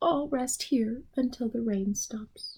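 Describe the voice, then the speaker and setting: A woman's high-pitched put-on character voice at a fairly slow pace. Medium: read story.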